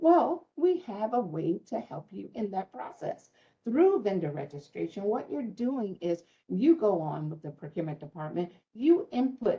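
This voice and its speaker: Lively intonation colors a voice with a somewhat breathy quality. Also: woman. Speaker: city small business outreach officer. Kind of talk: public information session. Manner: fast.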